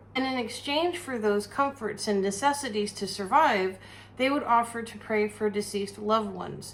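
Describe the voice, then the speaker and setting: An American accent over noticeable background noise, with ordinary pitch variation. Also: woman. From United States. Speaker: cooking and witchcraft channel host. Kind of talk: casual rant. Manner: animated.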